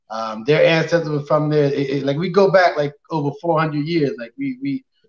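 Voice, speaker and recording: This man has a fairly high pitch, a plain, everyday voice, ordinary pitch variation and a fairly quick pace. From Nova Scotia, Canada (North Preston, near Dartmouth). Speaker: professional boxer. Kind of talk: casual interview.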